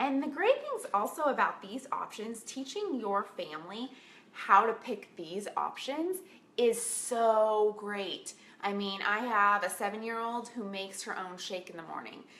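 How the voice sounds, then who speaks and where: A woman's ordinary speaking voice, fairly high in pitch, at a fairly slow pace with lively intonation and big swings in loudness. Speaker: health coach. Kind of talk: casual tutorial.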